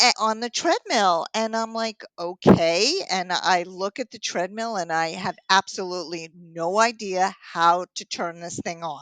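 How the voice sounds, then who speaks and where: An animated woman's voice in a New York accent, medium in pitch with ordinary variation, at a fairly slow pace with hardly any pauses and big swings in loudness, recorded dry and close with no echo against a quiet background. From Long Island, New York. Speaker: triathlon coach and author. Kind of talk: interview.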